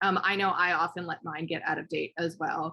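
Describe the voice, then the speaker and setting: Speaking in a monotone, flat way, a woman uses a fairly low pitch with vocal fry and a bright, sharp tone. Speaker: educational workshop presenter. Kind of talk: online workshop presentation. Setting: video call. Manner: fast; hesitant, many fillers.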